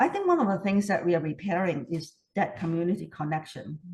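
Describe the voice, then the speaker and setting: A somewhat breathy woman's voice at medium pitch, with a Hong Kong accent. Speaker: community repair volunteer. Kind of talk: interview. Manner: hesitant, many fillers.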